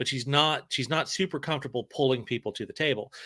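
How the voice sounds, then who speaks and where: With a Southern US accent, a man talks at a medium pitch in a bright, sharp tone. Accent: Southern US, weak. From Alabama, US South. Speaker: author. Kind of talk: casual chat.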